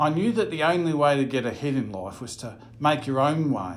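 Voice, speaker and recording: A man with an ordinary speaking voice, a fairly high pitch, lively intonation and a moderate pace. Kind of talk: first-person biblical storytelling.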